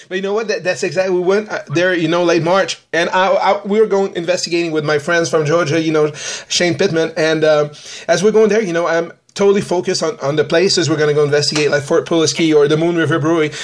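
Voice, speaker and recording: A man at a high pitch, very fast, with fairly even intonation and hardly any pauses. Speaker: podcast host and ghost hunter. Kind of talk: casual chat. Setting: podcast.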